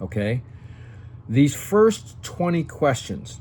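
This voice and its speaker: Somewhat breathy, a man at medium pitch speaks at a very slow pace. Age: 60s. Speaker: senior lifestyle YouTuber and entrepreneur. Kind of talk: talking-head tutorial. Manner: casual, frequent okay fillers.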